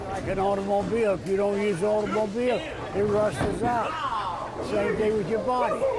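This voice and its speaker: Over loud background noise, a man with a high voice speaks at a moderate pace with ordinary pitch variation and hardly any pauses, the sound dry with no echo. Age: old. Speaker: retired senior bowler. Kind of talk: casual interview answer. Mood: cheerful, matter-of-fact. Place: hall. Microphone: lapel.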